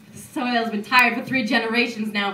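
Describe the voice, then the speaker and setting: A woman talks at a fairly quick pace with a fairly high pitch. Noticeable background noise can be heard. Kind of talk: poetry reading.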